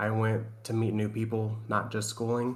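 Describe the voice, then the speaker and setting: A man with a Southern US accent talks at a fairly slow pace in a medium pitch. Audible room echo surrounds his voice. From Tennessee. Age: 30s. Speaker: navy sailor and streamer. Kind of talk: casual chat.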